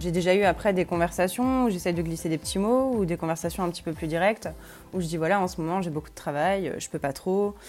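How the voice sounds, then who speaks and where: Over music in the background, a woman with a fairly low pitch talks at a very fast pace. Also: ordinary pitch variation. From Lorraine, France. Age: 20s. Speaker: university student. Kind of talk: interview testimony. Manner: hesitant, many fillers.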